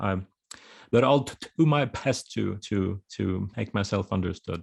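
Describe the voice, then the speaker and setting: Over a quiet background, a man with a Swedish accent talks in a fairly low pitch with ordinary pitch variation. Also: fairly slow pace. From Finland, Swedish-speaking. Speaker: author. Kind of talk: interview. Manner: halting.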